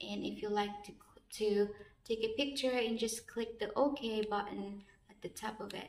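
Audible room echo surrounds a woman who speaks at a moderate pace, her fairly high voice held to fairly even intonation. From Philippines. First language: Filipino language. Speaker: vlogger. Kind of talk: casual vlog, unboxing and tutorial. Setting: outdoors, recording herself on camera. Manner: halting, with fillers and repetitions. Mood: warm, grateful. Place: empty room. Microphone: phone near.

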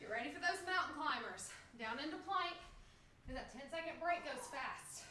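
A woman with an extremely high voice projects at a moderate pace in a raised tone. Light background noise and audible room echo are present. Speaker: fitness instructor. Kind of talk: live group workout coaching, shouted interval cues. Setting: video call livestream. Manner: high-energy, pushing and urging; upbeat, laughing banter with co-coach. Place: home room. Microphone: camera far.

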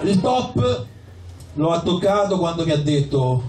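A man's fairly high, slightly mellow voice with lively intonation, at a fairly slow pace, amid audible room echo

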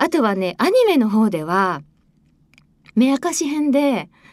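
A woman's cheerful, animated tone with very wide pitch swings, at a moderate pace, dry with no echo, over a quiet background. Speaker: voice actress and radio host. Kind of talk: radio show talk, reading a listener message and telling a behind-the-scenes anecdote. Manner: cheerful, chatty, animated. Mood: friendly, chatty reminiscing. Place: studio. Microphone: studio mic.

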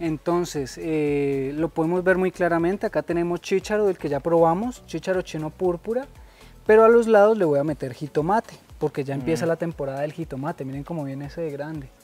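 With music in the background, a man talks in a high voice with ordinary pitch variation, the sound dry with no echo. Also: fairly quick pace. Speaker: farm guide. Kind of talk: guided tour explanation. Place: farm. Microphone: phone near.

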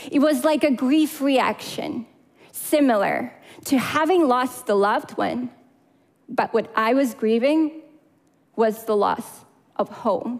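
A woman speaks at a very slow pace with a high pitch, leaving long, frequent pauses. Her loudness is very even, and the background is quiet. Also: ordinary pitch variation. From Crimea, Ukraine. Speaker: public speaker. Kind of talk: prepared talk. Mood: earnest, emotional. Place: stage. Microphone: headset.

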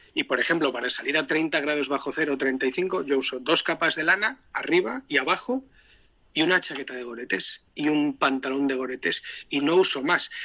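A man's fairly high voice with a bright, sharp tone, ordinary pitch variation and a moderate pace against a quiet background. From Spain, Palencia; Spain. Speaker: polar explorer; guest. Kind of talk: instructional talk. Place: home room. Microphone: video call.

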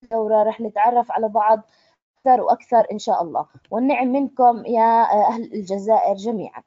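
Speaking at a fairly high pitch with ordinary pitch variation, a woman talks with a Jordanian accent. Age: 20s. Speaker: trainer. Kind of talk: online introductory training session. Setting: online conference call.

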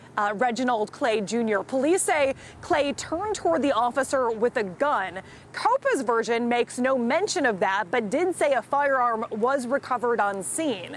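With a high pitch and lively intonation, a woman keeps her loudness very even over noticeable background noise. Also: moderate pace. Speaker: field news reporter. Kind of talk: news reporting, live report. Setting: outdoors, live outside police headquarters. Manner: formal, steady, newsreader delivery.

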